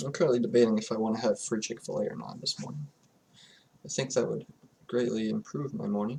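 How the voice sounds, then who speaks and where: A man talks at a very fast pace but with long, frequent pauses. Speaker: chess streamer. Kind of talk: gameplay commentary. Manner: low energy.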